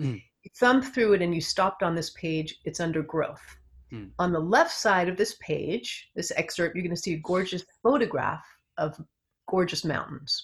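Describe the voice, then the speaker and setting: With an American accent, a woman speaks at a fairly low pitch and a moderate pace. Her voice is somewhat breathy, with ordinary pitch variation. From US West Coast, Los Angeles area. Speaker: psychotherapist. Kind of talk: interview.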